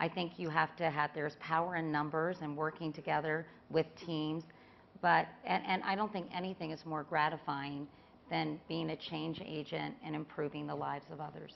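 Over light background noise, a woman with a very deep, low pitch speaks with vocal fry and fairly even intonation. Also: moderate pace. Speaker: philanthropist and cancer advocate; panelist. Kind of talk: panel talk. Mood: earnest, engaged. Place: stage. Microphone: lapel.

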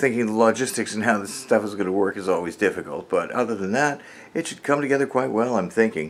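His pitch rises and falls in an ordinary way. The man talks at a very fast pace. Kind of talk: casual vlog chat. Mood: upbeat, a bit boastful. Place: home room. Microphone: phone near.

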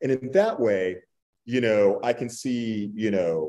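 A man speaks with an American accent and a dark, mellow tone. His intonation is lively. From Texas (Borger); Texas. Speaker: author; panelist. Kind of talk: panel discussion. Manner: halting. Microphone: video call.

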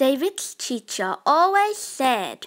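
Slow in pace, the voice has a fairly bright tone and big pitch swings. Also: woman, high pitch for a woman.

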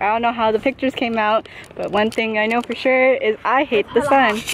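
Noticeable background noise sits behind a woman's voice. She talks at a fairly quick pace with fairly even intonation. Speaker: college student. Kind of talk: casual vlog talk to camera.

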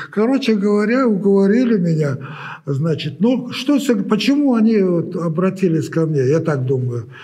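The voice moves at a moderate pace. Its pitch swings very widely. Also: man. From Uzbekistan. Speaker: sculptor; interviewee. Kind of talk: interview. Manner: halting. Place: studio. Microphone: lapel.

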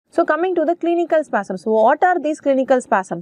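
Very wide pitch swings stand out against a quiet background, with a dry sound and no echo. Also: woman. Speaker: medical lecturer. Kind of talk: lecture.

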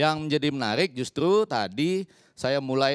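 A man talks at a fairly slow pace with a fairly high pitch. The background is quiet and the sound is dry, with no echo. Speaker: communication professor. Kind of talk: talk show panel discussion. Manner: formal. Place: studio. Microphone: handheld.

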